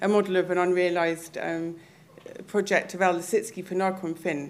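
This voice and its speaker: Monotone, flat intonation at a moderate pace. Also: woman. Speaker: panel chair. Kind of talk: moderating panel discussion.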